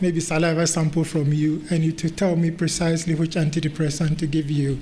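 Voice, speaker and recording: Amid audible room echo, a man with a Ghanaian accent speaks fairly quickly at a fairly high pitch, his intonation monotone and flat and his loudness very even. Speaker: medical director and research lead, conference chair. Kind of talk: conference talk.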